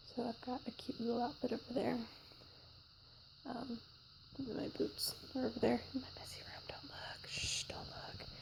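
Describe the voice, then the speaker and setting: Whispering at a moderate pace over noticeable background noise, a woman leaves long, frequent pauses, and her loudness swings widely. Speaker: vlogger. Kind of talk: casual vlog. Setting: outdoors. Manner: soft-spoken.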